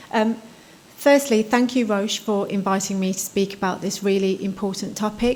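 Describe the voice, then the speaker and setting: Amid noticeable background noise, a soft-spoken woman talks at a moderate pace. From United Kingdom. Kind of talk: conference talk. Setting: conference stage with audience.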